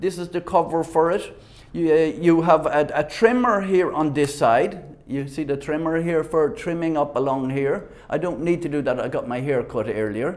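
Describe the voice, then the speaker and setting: A man with an Irish accent speaks at a moderate pace in a fairly high pitch, his pitch varying in an ordinary way. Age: 60s. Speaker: product reviewer. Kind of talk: product demonstration. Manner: halting.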